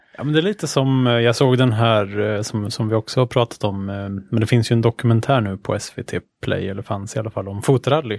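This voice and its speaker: A man's unremarkable speaking voice at medium pitch. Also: fairly even intonation, fairly quick pace. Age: young. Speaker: podcast co-host. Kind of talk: casual chat.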